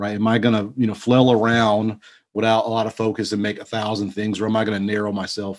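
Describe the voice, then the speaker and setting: Here a man with a Texan accent talks at a very fast pace and a fairly low pitch. The recording is very clean, with a silent background. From Texas. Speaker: leather goods maker and entrepreneur. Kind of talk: casual interview.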